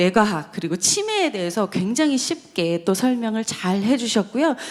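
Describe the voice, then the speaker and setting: A fairly high-pitched woman at a moderate pace, with noticeable background noise. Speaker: forum moderator, professor. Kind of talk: event moderation.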